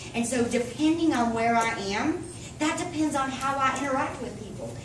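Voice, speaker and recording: Loud, animated, fairly quick speech in a Southern US accent, with audible room echo and noticeable background noise. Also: woman. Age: 40s. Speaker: network marketing distributor. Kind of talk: sales presentation.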